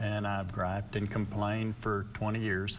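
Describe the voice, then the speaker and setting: Flat, monotone intonation carries through audible room echo. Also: man. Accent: West Texas. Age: 60s. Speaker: local political candidate. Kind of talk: interview.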